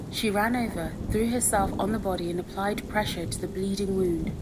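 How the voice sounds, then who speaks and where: A woman speaks at a moderate pace with a medium pitch and fairly even intonation. Noticeable background noise runs underneath. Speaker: ASMR storyteller. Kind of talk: audiobook story reading. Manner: soft, relaxing.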